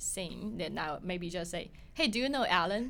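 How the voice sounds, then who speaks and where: A woman talks at a moderate pace in a Chinese accent. Her tone is bright and sharp, with lively intonation. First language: Mandarin Chinese. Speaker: podcast host. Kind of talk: interview.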